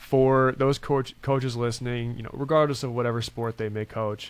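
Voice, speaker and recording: On a very clean recording with a silent background, a man with a normal speaking voice talks at a moderate pace in a medium pitch, his intonation fairly even. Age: 20s. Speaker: podcast host. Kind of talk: interview.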